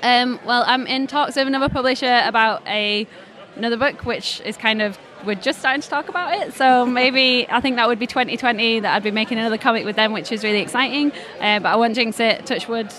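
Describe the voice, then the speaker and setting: Over crowd noise, a woman with a Yorkshire accent speaks at a fairly quick pace in a high pitch with ordinary pitch variation. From northern England, Leeds. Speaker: comics creator and illustrator. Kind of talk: interview at a comics festival.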